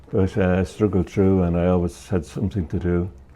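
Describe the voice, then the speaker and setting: The speaker has an Irish accent and a dark, mellow tone. The pace is fairly quick. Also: man. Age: 70s. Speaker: retired TV repairman. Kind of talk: interview.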